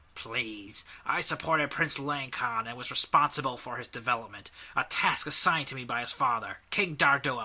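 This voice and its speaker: Doing a put-on character voice, a man of medium pitch speaks at a moderate pace with ordinary pitch variation and big swings in loudness. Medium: read story. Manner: measured, formal.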